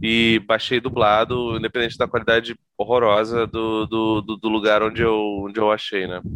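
Speaking with a Rio de Janeiro accent, this voice keeps a monotone, flat intonation throughout. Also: man. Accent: carioca (Rio). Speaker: podcast guest, comics fan. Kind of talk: casual chat.

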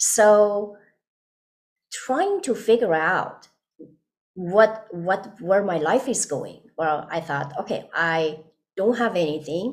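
Speaking very slowly with long, frequent pauses, a woman with a Persian accent uses lively intonation at a medium pitch. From Iran. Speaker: nurse and wellness consultant. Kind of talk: interview testimony.

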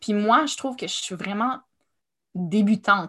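A somewhat breathy woman at fairly high pitch and moderate pace, ordinary pitch variation, on a very clean recording with a silent background. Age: 30s. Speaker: writer and artist. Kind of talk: casual chat.

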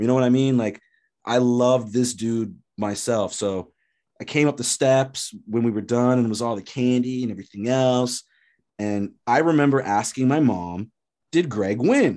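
At a moderate pace, a man speaks with a medium pitch, ordinary pitch variation and a dark, mellow tone. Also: quiet background. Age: 30s. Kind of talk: casual chat.

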